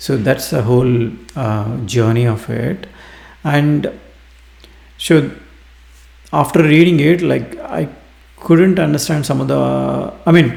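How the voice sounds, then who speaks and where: A man with an Indian accent at a very slow pace, with long, frequent pauses. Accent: Indian English (Telugu). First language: Telugu. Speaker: book reviewer. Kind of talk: book review monologue. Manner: halting, many fillers.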